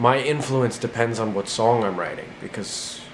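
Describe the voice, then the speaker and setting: The speaker has an American accent and a moderate pace. Room echo is audible, and there is noticeable background noise. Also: man. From New Jersey (north). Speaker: singer-songwriter. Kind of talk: interview answers. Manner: casual, halting with fillers.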